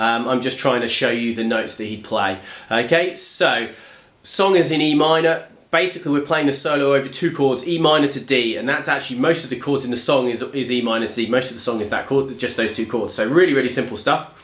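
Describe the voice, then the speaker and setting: With audible room echo around him, a man speaks fairly quickly in a medium pitch with ordinary pitch variation. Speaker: guitar teacher. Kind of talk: tutorial. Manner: casual, hesitant with fillers.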